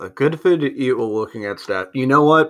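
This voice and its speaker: An unremarkable speaking voice from a man, fairly high in pitch with lively intonation, on a very clean recording with a silent background. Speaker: basketball podcast host. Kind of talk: casual chat. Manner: jokey.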